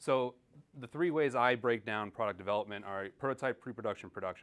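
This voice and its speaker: Here a man talks with an American accent. He goes at a very fast pace. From New York. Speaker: engineer and entrepreneur. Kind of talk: conference talk.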